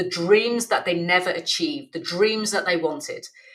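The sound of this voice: A fairly low-pitched woman's voice at a moderate pace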